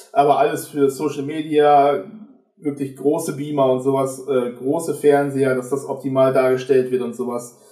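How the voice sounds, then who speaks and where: A man's fairly high voice in monotone, flat intonation at a moderate pace, with audible room echo against a quiet background. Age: 20s. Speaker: videographer; guest. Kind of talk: casual chat. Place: home room.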